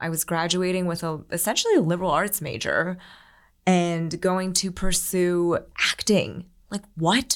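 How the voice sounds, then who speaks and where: A woman with an ordinary speaking voice and an American accent speaks at a fairly slow pace with fairly low pitch and fairly even intonation. The recording is very clean with a silent background. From US Northeast, Philadelphia suburbs. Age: 30s. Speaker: social media creator. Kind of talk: casual chat.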